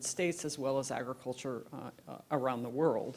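Speech moves at a moderate pace. The pitch varies in an ordinary way. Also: woman. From US Pacific Northwest and Alaska. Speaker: keynote lecturer. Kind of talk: lecture. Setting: lecture hall with live audience. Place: hall. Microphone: handheld.

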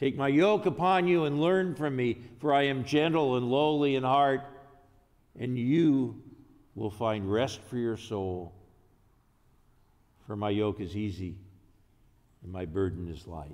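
A man at medium pitch, slightly mellow in tone, with ordinary pitch variation and long, frequent pauses. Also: fairly slow pace.

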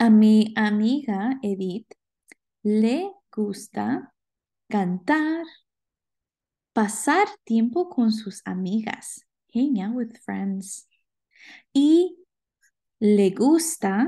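Over a quiet background, a woman with a fairly high pitch and a dark, mellow, somewhat breathy tone speaks at a very slow pace with long, frequent pauses. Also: lively intonation. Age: 20s. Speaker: Spanish language teacher. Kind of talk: recorded class lecture. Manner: slow, repetitive and clear.

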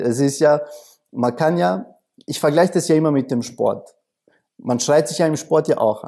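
This man speaks with a dark, mellow tone. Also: quiet background. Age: 30s. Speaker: coach. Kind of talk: interview. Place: studio. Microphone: lapel.

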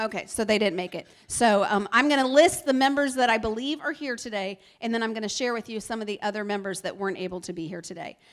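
Against a quiet background, a woman talks at a very fast pace in an animated tone, with ordinary pitch variation and big swings in loudness. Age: 40s. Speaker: chamber of commerce leader. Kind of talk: event emceeing. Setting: stage with audience. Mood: warm, upbeat. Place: hall. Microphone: handheld.

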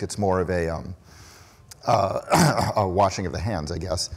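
A man is heard over noticeable background noise. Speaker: conference keynote speaker. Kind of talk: keynote talk. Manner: hesitant with many fillers.

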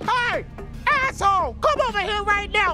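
A put-on character voice speaks at an extremely high pitch and a moderate pace. Loud music plays in the background. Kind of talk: rough, crude. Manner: yelling.

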